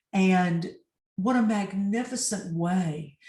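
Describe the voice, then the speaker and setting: Her medium-pitched voice is somewhat breathy, and the woman uses ordinary pitch variation. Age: 60s. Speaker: executive and life coach. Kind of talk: interview.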